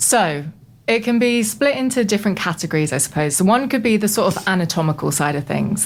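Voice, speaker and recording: A woman speaks with a British accent at a moderate pace. Noticeable background noise runs behind her. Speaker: voice coach. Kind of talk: interview. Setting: radio studio.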